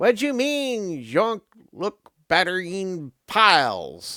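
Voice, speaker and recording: Putting on a character voice, a man speaks at a high pitch with very wide pitch swings. His pace is very slow. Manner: heated, arguing, shouting.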